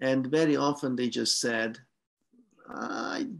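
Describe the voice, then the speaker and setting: Marked by vocal fry, a man with a slight Hungarian accent speaks at a very slow pace. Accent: slight Hungarian-tinged English. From Hungary. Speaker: professor. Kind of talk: academic talk, Q&A exchange.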